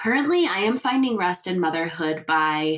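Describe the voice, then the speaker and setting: A woman speaks in a fairly low pitch at a fairly slow pace. Her pitch swings very widely. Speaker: podcast host and sleep consultant. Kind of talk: casual podcast monologue. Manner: chatty, relaxed.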